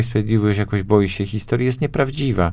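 Very fast speech from a man, fairly low in pitch and fairly even in intonation. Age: 40s. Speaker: politician. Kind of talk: radio interview. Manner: halting.

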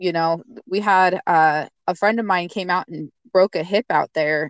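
With an American accent, a woman speaks at a fairly slow pace in a fairly low pitch and fairly even intonation. Her voice is unremarkable, and the sound is dry and close with no echo. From eastern Washington state. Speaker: homesteader. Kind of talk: casual chat.

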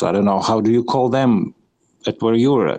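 Here is a man at a medium pitch. He speaks with a non-native accent. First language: not English. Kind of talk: casual chat. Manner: halting, searching for words.

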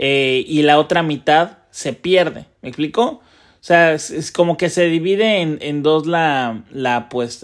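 Recorded very cleanly against a silent background, a man speaks at a high pitch with a Mexican accent. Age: 30s. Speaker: sports betting tipster. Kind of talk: casual monologue. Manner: laughs often; halting with repetitions.

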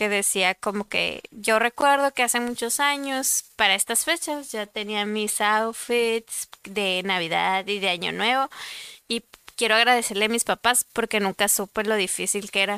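A woman with a Mexican accent talks at a fairly slow pace in a bright, sharp tone. The sound is dry and close, with no echo. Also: fairly high pitch for a woman, ordinary pitch variation. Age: 20s. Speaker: podcast co-host. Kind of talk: casual chat.

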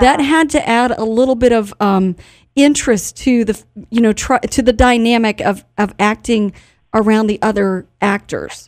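Speaking with few pauses, a woman has a fairly high pitch and a slightly mellow tone. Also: ordinary pitch variation, moderate pace.

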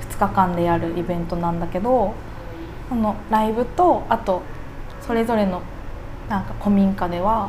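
With long, frequent pauses, a woman speaks at a moderate pace and fairly even intonation amid audible room echo and noticeable background noise. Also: medium pitch for a woman. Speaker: cook at a local eatery. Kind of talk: casual interview chat.

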